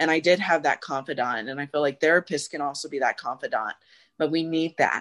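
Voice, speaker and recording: Over a quiet background, a woman speaks fairly quickly in a very deep, low pitch with ordinary pitch variation, the sound dry and close with no echo. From South Phoenix, Arizona. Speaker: rehabilitation counselor. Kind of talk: interview conversation. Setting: video call. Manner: halting, many fillers.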